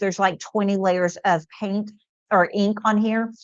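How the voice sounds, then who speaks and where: In an ordinary speaking voice, a woman with a fairly high pitch talks at a moderate pace. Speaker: product demo livestream host. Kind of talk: live product demo with chat Q&A. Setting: livestream. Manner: casual, many fillers.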